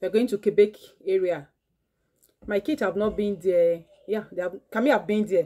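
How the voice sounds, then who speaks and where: Quiet background behind a woman with a dark, mellow tone. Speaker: mother vlogger. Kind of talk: casual vlog chat. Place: home room.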